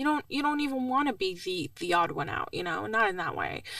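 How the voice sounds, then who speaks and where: Speaking fairly quickly, a woman talks in an American accent. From Libya and Iraqi family, moved to Pasadena at 13. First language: Arabic. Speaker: podcast guest. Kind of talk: casual interview chat.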